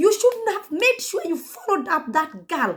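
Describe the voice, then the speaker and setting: With a Kenyan accent, a woman speaks at an extremely high pitch. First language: Kikuyu. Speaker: YouTuber. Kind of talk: commentary vlog. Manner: animated.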